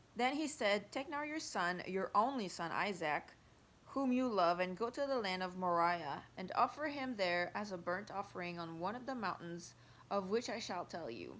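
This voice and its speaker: The accent is French Canadian, and the intonation is lively. The pace is moderate. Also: woman, medium pitch for a woman. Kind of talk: Bible reading. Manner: careful, sometimes halting.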